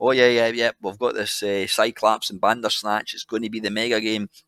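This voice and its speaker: With a Scottish accent, a man talks very fast at a medium pitch in a bright, sharp tone, the sound dry and close with no echo, in a very clean recording over a silent background. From Scotland. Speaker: podcast guest. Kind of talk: podcast interview answer. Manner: casual, rambling.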